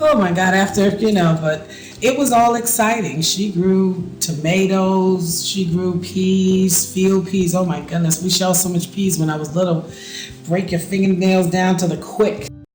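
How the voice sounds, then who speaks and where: A high-pitched man with an American accent at a fairly slow pace, with audible room echo and noticeable background noise. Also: ordinary pitch variation. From South Carolina Lowcountry, Gullah community near Charleston. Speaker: interviewee in documentary. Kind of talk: oral history interview.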